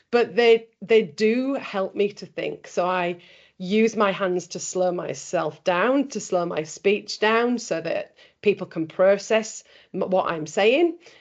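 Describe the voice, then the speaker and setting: Lively intonation marks a woman's medium-pitched voice, delivered at a very slow pace in a Yorkshire accent. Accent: Bradford, Yorkshire. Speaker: trainer. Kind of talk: webinar presentation. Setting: video call.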